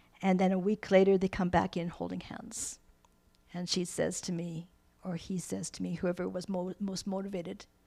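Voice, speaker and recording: On a very clean recording with a silent background, a woman speaks at a moderate pace with a dark, mellow tone, medium pitch and monotone, flat intonation. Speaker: workshop presenter and counselor. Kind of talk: workshop talk. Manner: conversational.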